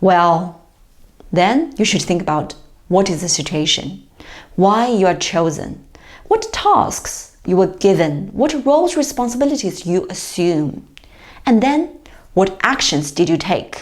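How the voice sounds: With lively intonation, a woman speaks at a fairly slow pace in a fairly low pitch.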